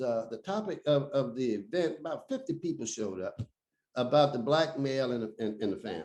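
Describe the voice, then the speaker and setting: A man with an American accent, medium in pitch, dark and mellow in tone, with very wide pitch swings. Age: 70s. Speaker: former city councilman and community activist. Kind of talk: podcast interview.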